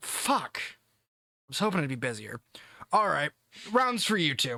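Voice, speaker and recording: A man puts on a character voice, fairly high for a man and slow-ish in pace. His pitch swings very widely. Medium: actual play. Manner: swaggering, casual.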